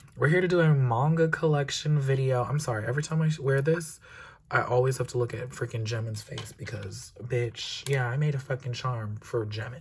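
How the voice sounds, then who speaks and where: A man's somewhat breathy voice at medium pitch, fairly quick pace and ordinary pitch variation. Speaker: manga collector vlogger. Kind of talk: casual chat. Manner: animated.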